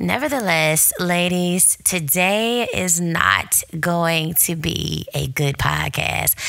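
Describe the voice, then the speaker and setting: A woman speaks at a very slow pace with hardly any pauses and very even loudness, amid noticeable background noise. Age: 30s. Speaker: podcast host. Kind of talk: casual chat. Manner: animated.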